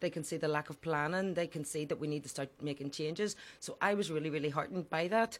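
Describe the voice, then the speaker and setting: This speaker has a Belfast accent and ordinary pitch variation. The pace is very fast. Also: woman, very deep, low pitch for a woman. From Northern Ireland, west Belfast (Falls Road). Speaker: politician, party leader. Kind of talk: interview. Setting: studio.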